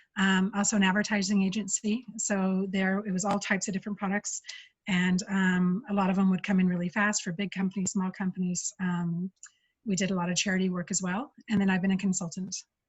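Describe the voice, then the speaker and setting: A woman speaks at a fairly quick pace in a somewhat breathy, monotone voice with flat intonation. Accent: American. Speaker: UX engineer giving a talk. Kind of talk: conference talk. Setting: video call. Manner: fast.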